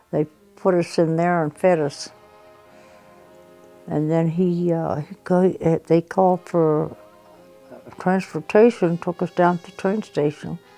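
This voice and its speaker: With music playing behind her, a woman speaks fairly slowly in a fairly low pitch and fairly even intonation. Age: 90s. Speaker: storyteller. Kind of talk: interview. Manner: halting.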